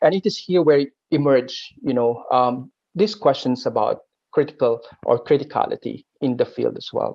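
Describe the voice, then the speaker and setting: A Filipino accent at a moderate pace. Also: man. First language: Aklanon. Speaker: linguistics academic. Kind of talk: panel discussion. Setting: online webinar. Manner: halting, many fillers and repetitions.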